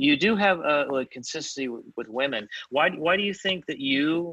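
A man with an American accent, bright and sharp in tone, lively in intonation, at a fairly quick pace. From Fort Worth, Texas. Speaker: podcast host. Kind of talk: casual interview. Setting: video call. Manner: halting, many fillers.

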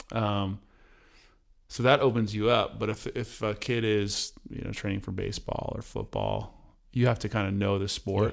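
A man's fairly low voice carries vocal fry and a monotone, flat intonation at a moderate pace, recorded very cleanly against a silent background. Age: 40s. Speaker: podcast host. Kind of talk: casual interview.

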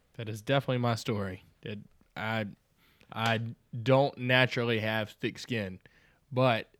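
Against a silent background on a very clean recording, the speaker talks at a fairly slow pace with fairly even intonation and a slight Southern US accent. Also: man. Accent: slight Southern US drawl. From US South. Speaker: church minister. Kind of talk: casual chat.

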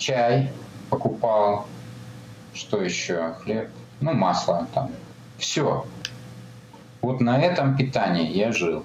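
A man's very slow, lively-intoned speech at medium pitch, broken by long, frequent pauses, amid noticeable background noise and audible room echo. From Kazakhstan (Almaty), Soviet Union. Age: 50s. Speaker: ultramarathon runner. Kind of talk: interview.

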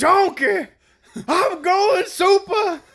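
Pitched extremely high, the voice is a put-on character.

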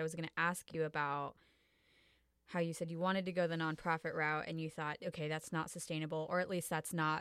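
A plain, everyday voice with fairly even intonation comes through on a very clean recording with a silent background. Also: woman. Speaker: podcast host. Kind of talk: casual interview.

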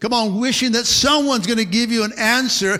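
The voice is raised and projected, with an animated tone and ordinary pitch variation. It moves at a moderate pace over noticeable background noise. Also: man. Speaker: pastor. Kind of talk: sermon to a live congregation. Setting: church. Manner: animated, rhythmic call-and-response preaching, punchy short exhortations; repeats words and fillers, stops and restarts, punctuates with 'amen'.

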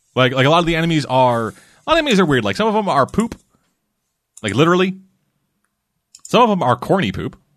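Against a quiet background, a man talks at a very fast pace with long, frequent pauses. His fairly high pitch swings very widely, with vocal fry. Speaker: podcast host. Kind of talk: casual chat.

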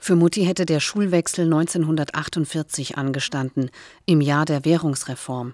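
A woman's very deep, low voice with a slight Hessian accent and fairly even intonation, in a dry, close sound with no echo and a very clean recording with a silent background. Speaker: podcaster. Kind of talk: scripted narration.

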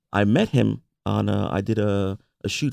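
Speaking with a New York accent, a man uses lively intonation at a fairly low pitch with vocal fry. The recording is very clean, with a silent background. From US Northeast, Bronx, New York. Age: 40s. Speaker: entrepreneur and baker. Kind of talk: interview.

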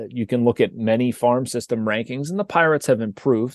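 In a dry, close recording with no echo and a quiet background, a man talks fairly quickly at a medium pitch with a plain, everyday voice. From Pittsburgh, western Pennsylvania. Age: 40s. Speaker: sports journalist. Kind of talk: casual interview.

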